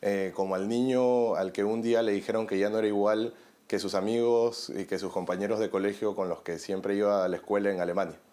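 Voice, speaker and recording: A man's dark, mellow voice, fairly low in pitch, with monotone, flat intonation at a fairly quick pace, in a very clean recording with a silent background. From Peru. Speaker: journalist and documentary maker. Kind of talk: interview.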